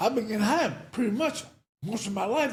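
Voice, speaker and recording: Heard with audible room echo, a man speaks at a high pitch with very wide pitch swings. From South Central Los Angeles. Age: 70s. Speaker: former addict telling his life story. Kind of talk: interview, casual chat. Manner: fast; insistent.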